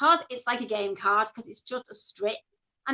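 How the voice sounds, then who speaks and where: A woman's raised, projected voice, bright and sharp in tone, with lively intonation and a dry, close sound free of echo. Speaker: reading teacher. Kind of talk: interview about teaching methods.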